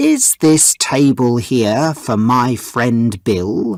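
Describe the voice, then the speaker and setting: A man's put-on character voice, medium in pitch and very slow, in a very clean recording with a silent background. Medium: read story.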